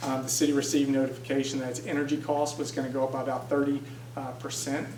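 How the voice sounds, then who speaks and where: A man with a fairly high pitch talks very fast in a flat monotone, with audible room echo and noticeable background noise. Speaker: city budget official. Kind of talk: presentation.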